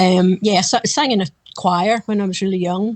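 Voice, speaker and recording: With a Glasgow accent, a woman speaks at a moderate pace in a medium pitch and fairly even intonation, the sound dry and close with no echo against a quiet background. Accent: Scottish (Glasgow area). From Scotland, west coast near Glasgow. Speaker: backup singer. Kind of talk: interview.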